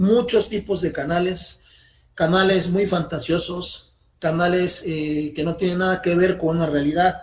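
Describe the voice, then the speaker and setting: This man's voice sits high in pitch and moves at a fairly slow pace. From Mexico. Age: 40s. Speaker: channel member, beginner in magic. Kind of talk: interview. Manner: formal.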